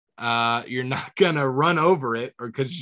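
In a quiet background, a man with an American accent and a plain, everyday voice speaks at a moderate pace and a medium pitch. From Southwest Florida. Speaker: comedian. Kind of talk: casual chat.

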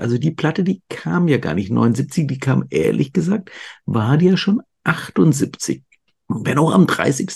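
A man's fairly high voice with vocal fry, very wide pitch swings and a very slow pace. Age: 50s. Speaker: podcast host. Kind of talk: casual interview.

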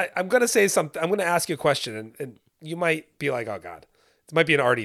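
Racing at a very fast pace, a man with vocal fry and a fairly high pitch makes very wide pitch swings and big swings in loudness. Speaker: co-host. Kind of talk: casual chat.

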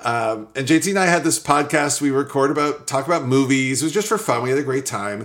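A very fast man's voice, fairly high in pitch with ordinary pitch variation, hardly any pauses, and noticeable background noise. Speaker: startup founder. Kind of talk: interview.

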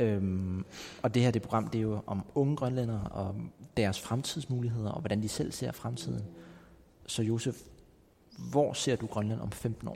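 Speaking at a fairly slow pace with long, frequent pauses, a man has a dark, mellow tone and ordinary pitch variation. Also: medium pitch for a man. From Greenland, Nuuk. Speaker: podcast host. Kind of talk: interview. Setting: cultural center in Nuuk. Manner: halting.

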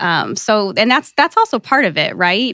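A woman speaks with a Midwestern American accent. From US Midwest, small-town Ohio. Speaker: networking and professional development coach. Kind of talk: interview.

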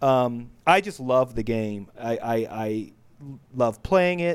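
At a very slow pace, a man with an American accent speaks at medium pitch. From United States. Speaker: board game reviewer. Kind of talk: casual chat. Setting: video call. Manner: animated.

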